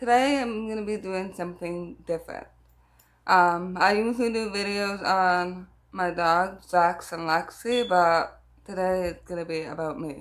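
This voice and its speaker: With a bright, sharp tone at a medium pitch, a woman speaks with ordinary pitch variation and big swings in loudness. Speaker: hard of hearing vlogger. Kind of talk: casual Q&A vlog. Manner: frequent fillers like um.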